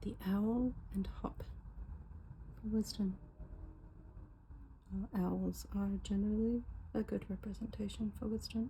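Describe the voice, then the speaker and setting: Soft-spoken and relaxed in tone, the voice moves at a fairly slow pace with long, frequent pauses. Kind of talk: ASMR unboxing, soft-spoken casual talk to camera. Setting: recorded at home with faint car noise in background. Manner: soft-spoken, relaxed.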